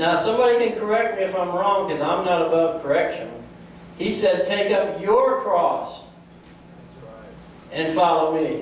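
A man's high-pitched voice with ordinary pitch variation at a moderate pace, long, frequent pauses, strong room echo and light background noise. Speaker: pastor. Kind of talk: sermon delivered to a congregation. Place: church.

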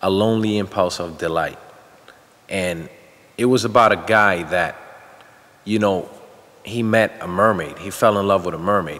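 A man with a fairly low voice speaks at a moderate pace and fairly even intonation. Long pauses come often. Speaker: actor being interviewed. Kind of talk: interview answer. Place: studio.

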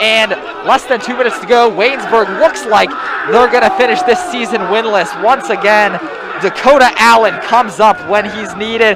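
Over crowd noise, a man with an extremely high pitch sounds energetic and excited, his pitch varying in an ordinary way. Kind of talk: live football commentary, play-by-play with analyst remarks. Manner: quick, energetic, excited call of the action; occasionally hesitant and uncertain when a flag flies.

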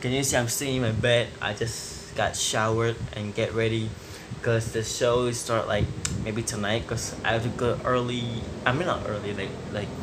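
Through noticeable background noise, a man speaks at a moderate pace with monotone, flat intonation. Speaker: vlogger. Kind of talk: casual vlog chat. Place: home room. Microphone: phone near.

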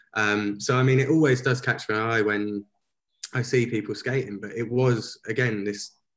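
Against a quiet background, a man with a fairly low pitch speaks at a moderate pace with fairly even intonation. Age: 20s. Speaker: street photographer; guest. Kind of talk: interview. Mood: relaxed reflective. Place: home room. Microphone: video call.

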